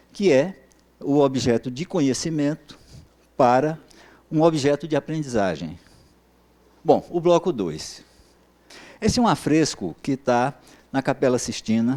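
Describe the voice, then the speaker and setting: A man with a fairly high pitch and a dark, mellow tone speaks at a fairly slow pace with lively intonation and long, frequent pauses. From Brazil, Bahia. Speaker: professor. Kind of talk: lecture. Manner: halting, many filler sounds.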